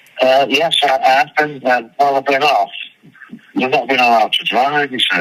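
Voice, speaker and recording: With a Manchester accent, a man speaks in a flat monotone at a fairly high pitch and moderate pace, his loudness very even, over noticeable background noise. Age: 60s. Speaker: rock drummer. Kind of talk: interview. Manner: halting.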